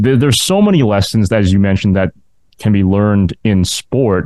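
Fairly quick and fairly low-pitched, a man speaks with an ordinary speaking voice and ordinary pitch variation. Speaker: podcast host and university sports announcer. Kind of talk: interview.

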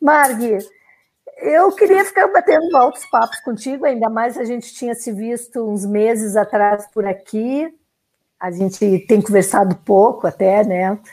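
Lively intonation and a fairly slow pace come through in a southern Brazilian accent, with music in the background. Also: woman, fairly high pitch for a woman. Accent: gaúcho. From southern Brazil (Rio Grande do Sul). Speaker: podcast host and sailor. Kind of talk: casual interview. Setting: video call livestream.

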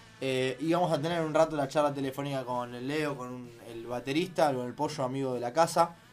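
Music plays in the background as a man speaks with a Rioplatense accent. His pace is fairly quick and his pitch variation ordinary. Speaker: radio host. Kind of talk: casual chat.

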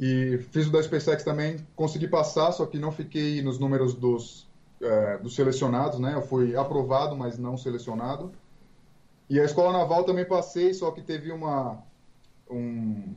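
Speaking fairly slowly, a man has a dark, mellow, fairly high-pitched voice with ordinary pitch variation. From Brazil, Santos (São Paulo coast). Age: 20s. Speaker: police officer. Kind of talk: interview.

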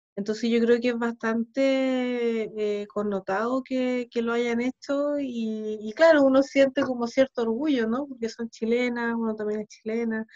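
In a dry, close sound with no echo, a woman with a fairly high pitch and fairly even intonation speaks at a fairly slow pace with hardly any pauses. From Chile (arrived age seven, born Ukraine, early childhood Sweden). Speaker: musician and composer. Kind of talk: casual interview.

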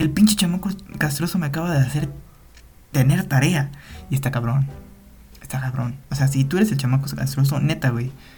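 In a Mexican accent, the speaker goes at a fairly quick pace but leaves long, frequent pauses. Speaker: podcast host, student. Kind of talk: casual monologue. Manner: halting, many fillers and repetitions.

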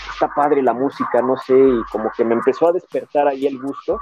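A man's medium-pitched voice, fairly even in intonation and moderate in pace, amid noticeable background noise. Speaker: music fan guest. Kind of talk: casual chat.

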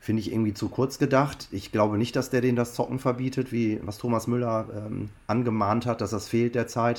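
A man speaks in an ordinary speaking voice. His pitch is medium and his intonation fairly even. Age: 50s. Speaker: copywriter and football fan. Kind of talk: interview.

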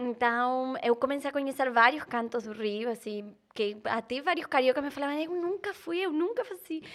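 A woman in an Argentine accent speaks with high pitch and lively intonation. Her pace is moderate, with hardly any pauses. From Argentina. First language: Spanish (speaking Portuguese). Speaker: content creator. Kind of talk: casual chat.

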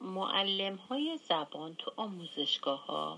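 A woman speaks at a very slow pace and a medium pitch. Her voice makes very wide pitch swings. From Iran, Gilan (Langarud). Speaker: former language student, hospital worker. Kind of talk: interview.

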